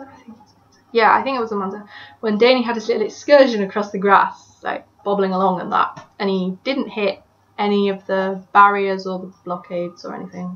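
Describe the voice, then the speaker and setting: The speaker has an English accent and a fairly quick pace. Pitch varies in an ordinary way while loudness swings widely. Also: woman. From England. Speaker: motorsport fan vlogger. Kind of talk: casual monologue answering questions. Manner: hesitant, many fillers.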